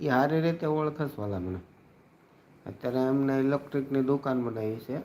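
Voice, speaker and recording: A man's unremarkable speaking voice at a medium pitch, with ordinary pitch variation. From Gujarat, Bhavnagar district. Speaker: livestreamer and local news reporter. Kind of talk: casual live stream chat.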